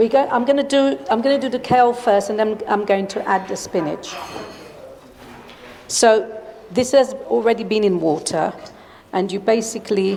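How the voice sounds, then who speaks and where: A woman with ordinary pitch variation and long, frequent pauses, over noticeable background noise. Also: fairly high pitch for a woman, moderate pace. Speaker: cooking demonstrator. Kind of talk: cooking demonstration.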